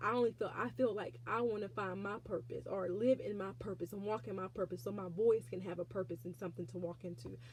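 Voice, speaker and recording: A woman talks at a fairly quick pace and a medium pitch. Her pitch swings very widely, and vocal fry runs through her voice. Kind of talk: faith testimony. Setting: alone in prayer closet, self-recorded. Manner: halting.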